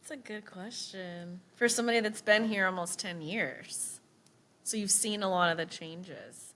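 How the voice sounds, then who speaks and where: Her voice sits at a medium pitch with a bright, sharp tone and ordinary pitch variation. This woman keeps a moderate pace, but her loudness swings widely. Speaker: podcast co-host. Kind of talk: casual interview chat.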